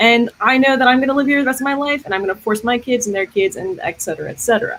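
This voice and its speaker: A woman talks at a very fast pace in a high pitch, her intonation lively. There is noticeable background noise behind her. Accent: American. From New York City, Queens (Astoria). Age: 20s. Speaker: political candidate. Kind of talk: candidate forum statement.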